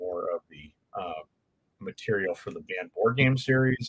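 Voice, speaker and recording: Recorded with a dry, close sound and no echo, a man with a Californian accent speaks at a moderate pace. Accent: California. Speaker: board game channel host. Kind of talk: live stream Q&A chat. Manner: many filler words (um, uh).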